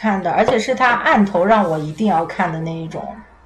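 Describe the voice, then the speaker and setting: Music plays in the background as a woman speaks at a fairly quick pace, with audible room echo. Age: 20s. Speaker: podcast guest. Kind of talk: casual chat.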